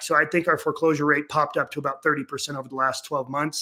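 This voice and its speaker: Very fast and with fairly even intonation, a man speaks in a bright, sharp tone. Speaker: real estate investment fund manager. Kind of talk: webinar presentation. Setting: video webinar from a rented basement room.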